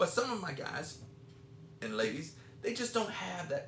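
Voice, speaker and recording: Room echo is audible as a male speaker proceeds at a medium tempo with clearly present background noise. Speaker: podcast co-host and jiu-jitsu school owner. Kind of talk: casual chat.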